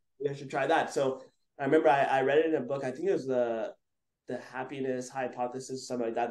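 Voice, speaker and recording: A man speaks in a Montreal accent at a very fast pace. His medium-pitched voice keeps a fairly even intonation. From Montreal, Quebec. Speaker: photographer and videographer. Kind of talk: interview. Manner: casual, filler-heavy.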